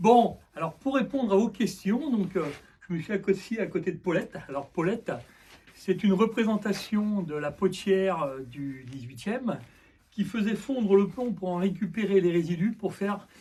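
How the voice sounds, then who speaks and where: Here a man speaks with a high pitch and a dark, mellow tone. His intonation is lively, at a moderate pace. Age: 60s. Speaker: potter, museum volunteer. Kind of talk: interview, personal presentation. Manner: hesitant, many filler sounds.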